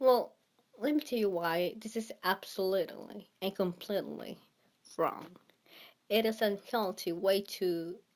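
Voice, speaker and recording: A woman speaks with a strong non-native accent at a fairly slow pace. Her pitch is medium, with ordinary variation. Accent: thick non-native. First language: not English. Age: 20s. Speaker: vlogger. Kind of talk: casual monologue. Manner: halting.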